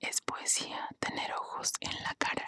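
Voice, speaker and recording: A woman whispers, and the sound is dry and close with no echo. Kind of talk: casual talk to camera, intro and commentary. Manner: soft, whispered.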